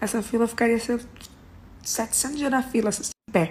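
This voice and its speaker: Over noticeable background noise, a woman talks. Her pace is fairly quick. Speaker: singer. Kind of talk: casual talk, celebrating. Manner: excited, upbeat.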